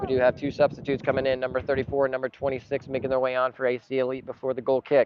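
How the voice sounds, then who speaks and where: A man speaks at a very fast pace with hardly any pauses, his pitch medium and his intonation monotone and flat. Noticeable background noise runs under the recording. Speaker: club's live stream commentator. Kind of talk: live commentary. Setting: outdoors at a soccer match.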